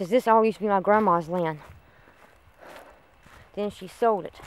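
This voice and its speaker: A woman at a moderate pace with ordinary pitch variation, dry sound with no echo. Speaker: vlogger. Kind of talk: casual vlog chat. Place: open country. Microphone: phone near.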